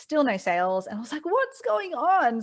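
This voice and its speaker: A woman speaks with an Australian accent. Her pace is fairly quick. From Australia (Sydney). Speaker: e-commerce business mentor. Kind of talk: interview.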